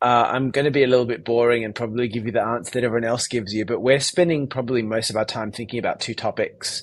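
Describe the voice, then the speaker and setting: A medium-pitched man with an Australian accent, very fast and with hardly any pauses, his intonation fairly even. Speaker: tech company founder and CEO. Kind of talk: interview.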